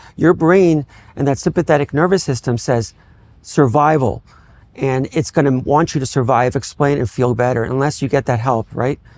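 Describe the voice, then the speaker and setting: A man's normal speaking voice with an American accent, fairly high pitch, ordinary pitch variation and a fairly quick pace, in a very clean recording with a silent background and a dry, close sound with no echo. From Miami, Florida. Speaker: neurologist. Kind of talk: interview.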